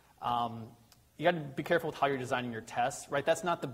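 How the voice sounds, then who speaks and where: This man's somewhat breathy voice has ordinary pitch variation. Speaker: tech conference presenter. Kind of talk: technical presentation. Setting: meetup with live audience. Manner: fast.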